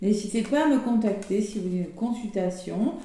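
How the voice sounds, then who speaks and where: A woman speaks at a medium pitch and a fairly slow pace with ordinary pitch variation. Noticeable background noise and audible room echo fill the recording. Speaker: tarot card reader. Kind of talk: horoscope reading to camera.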